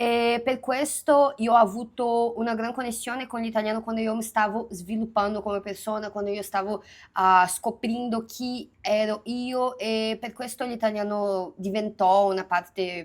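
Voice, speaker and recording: In a slight Minas Gerais accent, a woman talks at a fairly slow pace with fairly even intonation and hardly any pauses. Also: fairly high pitch for a woman. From Minas Gerais, Brazil. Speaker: youtuber. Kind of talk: casual multilingual vlog. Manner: hesitant, many fillers in foreign languages.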